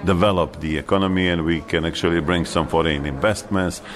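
A man with a Bosnian accent, over noticeable background noise. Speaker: foreign minister. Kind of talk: interview.

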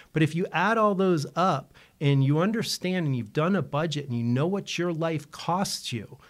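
A plain, everyday voice with lively intonation at a moderate pace. The recording is very clean, with a silent background. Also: man. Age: 50s. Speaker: financial advisor, radio show host. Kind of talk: radio talk show, financial advice.

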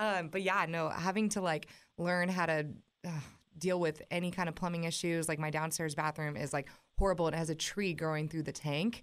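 With an American accent, an unremarkable speaking voice moves at a fairly quick pace with fairly even intonation over a very clean recording and silent background. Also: woman, fairly low pitch for a woman. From US West Coast. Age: 20s. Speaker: country musician. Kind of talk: casual chat.

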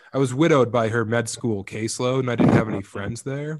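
In an American accent, a man with a plain, everyday voice speaks fairly quickly at medium pitch, his intonation fairly even. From Colorado, Eastern Plains. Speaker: comedian and author. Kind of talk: casual chat.

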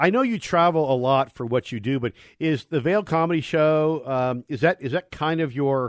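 A man in an ordinary speaking voice talks at a moderate pace and fairly high pitch with ordinary pitch variation, the background quiet and the sound dry and close with no echo. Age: 60s. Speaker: motorsports radio host, former race driver. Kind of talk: casual radio talk show.

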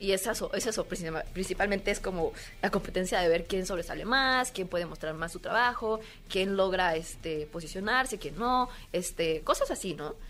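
A woman of medium pitch with an ordinary speaking voice and ordinary pitch variation. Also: moderate pace. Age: 20s. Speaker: cosplayer. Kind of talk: casual interview chat. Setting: convention floor.

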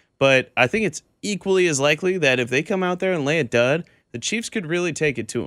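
Speaking at a fairly quick pace in a plain, everyday voice, a man with an American accent shows ordinary pitch variation, recorded very cleanly with a silent background and a dry, close sound with no echo. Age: 20s. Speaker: sports radio co-host. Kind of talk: sports talk radio.

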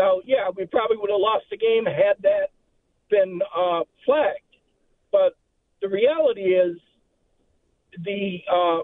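Long, frequent pauses break up this man's fairly slow delivery. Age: 60s. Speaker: sports radio caller. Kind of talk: casual chat. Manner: animated.

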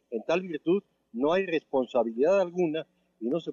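At a moderate pace, a man with a plain, everyday voice talks with ordinary pitch variation. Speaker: law professor. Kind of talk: interview. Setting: phone call. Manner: formal.

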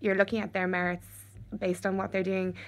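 A woman's medium-pitched voice with an Irish accent, on a very clean recording against a silent background. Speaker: venture capital investor. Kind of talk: casual panel discussion.

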